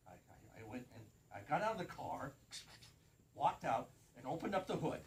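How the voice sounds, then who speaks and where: The pitch of this man's speech rises and falls across a very wide range. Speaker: professional Santa performer. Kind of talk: storytelling joke on live community TV. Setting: TV studio. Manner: casual, animated storytelling.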